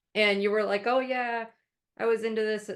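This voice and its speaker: A woman is speaking. She talks with an American accent. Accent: Midwestern accent slips out at times. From Arizona, US, raised by Midwesterners. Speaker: podcast co-host, animal trainer. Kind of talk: casual chat.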